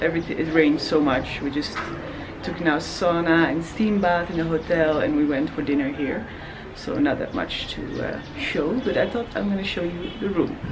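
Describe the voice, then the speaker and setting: Over music in the background, a woman speaks at a moderate pace in a fairly low pitch. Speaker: travel vlogger. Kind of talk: casual vlog chat. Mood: cheerful, relaxed. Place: home room. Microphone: phone near.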